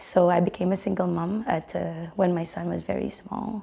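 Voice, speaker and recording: A woman with a Filipino accent speaks at a moderate pace. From Philippines. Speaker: teacher. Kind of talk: interview. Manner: halting.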